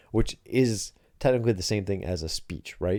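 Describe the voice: At a moderate pace, the voice has a dark, mellow tone and ordinary pitch variation. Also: man, fairly low pitch for a man.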